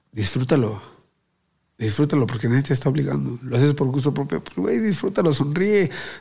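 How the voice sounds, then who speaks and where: Lively intonation and vocal fry mark a man's dark, mellow tone as he talks at a fairly quick pace. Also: medium pitch for a man. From Mexico City (Azcapotzalco). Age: 20s. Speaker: professional boxer. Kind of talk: casual interview chat.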